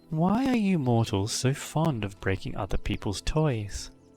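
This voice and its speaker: Over faint music in the background, a breathy put-on character voice swings very widely in pitch at a moderate pace. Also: man, medium pitch for a man. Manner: mocking, disdainful.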